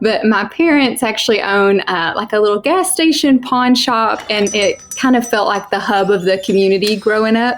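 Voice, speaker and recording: With music in the background, a woman with a fairly high pitch speaks at a moderate pace with ordinary pitch variation, very even loudness and hardly any pauses. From Eastern Kentucky (Johnson County). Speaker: homesteader and sheep farmer. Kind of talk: podcast interview. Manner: casual, conversational.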